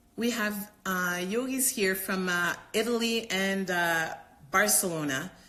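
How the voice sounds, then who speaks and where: Audible room echo surrounds a woman's bright, sharp tone. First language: not English. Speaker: doctor and yoga teacher. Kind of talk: live Q&A stream. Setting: live stream. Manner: halting, many fillers and repetitions.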